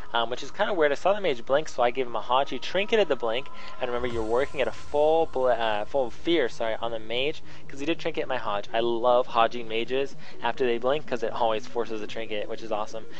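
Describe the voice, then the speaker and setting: Music plays behind a man talking at a very fast pace in a room with audible echo. His pitch is medium with ordinary variation. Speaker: gaming video commentator. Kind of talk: gameplay commentary tutorial. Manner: halting, many fillers.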